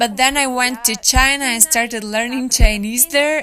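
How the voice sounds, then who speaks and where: Her tone bright and sharp, a woman with a Ukrainian accent speaks at a moderate pace with ordinary pitch variation. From Ukraine, Ivano-Frankivsk. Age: 20s. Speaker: language learner and traveler. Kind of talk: interview.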